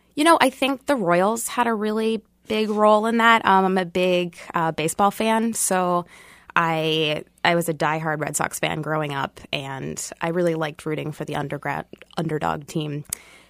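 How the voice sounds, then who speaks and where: With an ordinary speaking voice and an American accent, a woman talks at a moderate pace with fairly low pitch and lively intonation, on a very clean recording with a silent background. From Boston. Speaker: sociology professor. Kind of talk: radio panel discussion.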